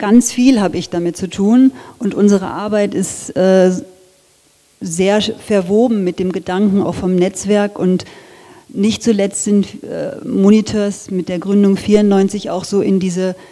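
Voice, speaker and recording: Intonation stays fairly even as a woman talks at a very slow pace. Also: quiet background. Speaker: design lecturer. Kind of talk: lecture. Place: hall. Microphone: handheld.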